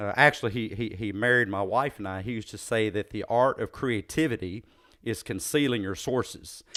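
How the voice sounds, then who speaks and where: On a very clean recording with a silent background, a man of medium pitch speaks at a moderate pace with a slight Southern US accent and ordinary pitch variation. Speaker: podcast host, psychologist. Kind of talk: interview conversation. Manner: halting, many fillers.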